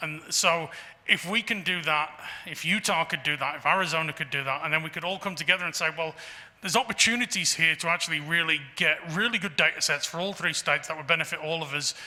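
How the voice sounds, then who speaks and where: A man talks at a very fast pace with a fairly high pitch. His tone is bright and sharp, with ordinary pitch variation. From England. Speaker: geological survey director. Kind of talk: Q&A after a lecture. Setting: talk to a society audience. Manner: halting with many fillers.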